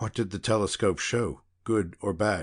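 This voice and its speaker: A raspy, put-on character voice comes through over a quiet background. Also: man. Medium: read story. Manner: emotional, excitable.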